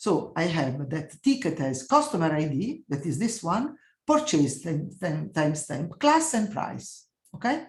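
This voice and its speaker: The speech comes at a fairly slow pace in an Italian accent. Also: woman. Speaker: professor. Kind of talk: lecture. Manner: halting.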